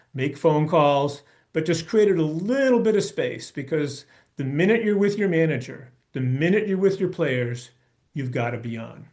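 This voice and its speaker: In an American accent, a man with a normal speaking voice and a fairly high pitch talks at a moderate pace with lively intonation. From US Northeast (Brookline, Massachusetts). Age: 60s. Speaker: baseball coach. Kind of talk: presentation talk.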